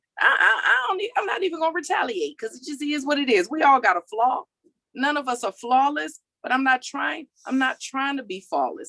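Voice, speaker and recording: Raising and projecting her voice, a woman talks at a fairly quick pace and a high pitch with very wide pitch swings and a bright, sharp, animated tone, recorded dry and close with no echo. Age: 40s. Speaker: motivational speaker. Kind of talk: motivational talk.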